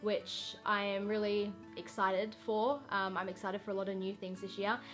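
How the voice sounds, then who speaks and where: With music playing in the background, a woman with an Australian accent talks at a medium pitch. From Western Australia. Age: young. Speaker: vlogger. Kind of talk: casual talk to camera.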